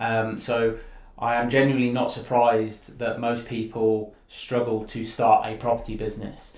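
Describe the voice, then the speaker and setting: In a room with audible echo, a man of medium pitch speaks at a moderate pace in a monotone, flat voice. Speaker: property investor and channel co-host. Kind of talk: educational live stream presentation. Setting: live stream video. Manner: quiet. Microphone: sounded far away, mic turned up.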